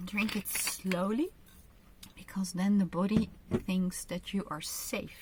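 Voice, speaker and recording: Amid noticeable background noise, a woman with a Dutch accent speaks at a very slow pace and medium pitch, with fairly even intonation and long, frequent pauses. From Netherlands. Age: 50s. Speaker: kinesiologist and author. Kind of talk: online training with guided exercises. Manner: slow, careful English with fillers.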